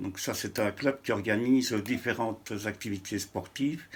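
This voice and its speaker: His pitch fairly low, a man speaks with fairly even intonation. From Belgium (Huy, Wallonia). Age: 60s. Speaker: interviewee on cycling history. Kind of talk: interview. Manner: hesitant.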